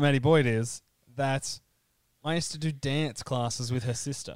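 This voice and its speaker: On a very clean recording with a silent background, a man with an Australian accent speaks at a moderate pace in a fairly high voice with fairly even intonation. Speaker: podcaster and football fan. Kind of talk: casual chat. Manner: joking, self-deprecating.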